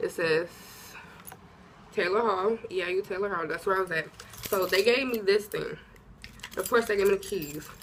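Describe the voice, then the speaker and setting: Noticeable background noise sits behind a woman's voice. She has a medium pitch with ordinary pitch variation. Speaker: college student vlogger. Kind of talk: casual advice vlog. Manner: conversational.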